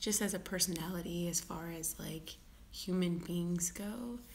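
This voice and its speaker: Amid audible room echo, a woman with a fairly low pitch speaks at a very slow pace with fairly even intonation. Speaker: vlogger. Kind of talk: casual vlog monologue. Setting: at home, live video. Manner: halting, repeated words; whispering.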